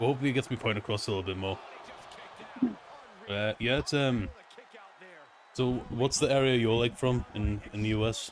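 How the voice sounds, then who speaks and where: A man speaks fairly quickly in a Newcastle accent. His intonation is fairly even, with long, frequent pauses. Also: medium pitch for a man. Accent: Newcastle (Geordie), noticeable. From northern England, Newcastle. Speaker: gaming streamer. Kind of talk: casual live-stream chat while gaming. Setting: quiet empty room at home, late night. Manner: rambling, casual.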